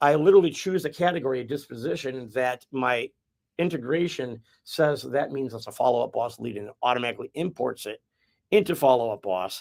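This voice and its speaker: Speaking with a Midwestern accent, a man talks at a fairly quick pace with lively intonation and big swings in loudness, in a dry, close sound with no echo. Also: medium pitch for a man. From US Midwest. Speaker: real estate agent. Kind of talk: casual chat.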